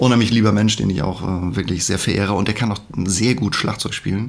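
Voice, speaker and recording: A man's fairly quick speech is heard over noticeable background noise. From northern Germany, Schleswig-Holstein (Hohenwestedt). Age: 50s. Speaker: musician and secondary school teacher. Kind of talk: casual chat.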